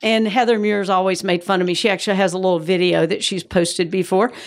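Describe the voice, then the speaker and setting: Speaking in a Georgia accent, a woman has a medium-pitched voice. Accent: Southern US (Georgia), still noticeable. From US South, Georgia. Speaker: mother and grandmother, church member. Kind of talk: interview about family and faith.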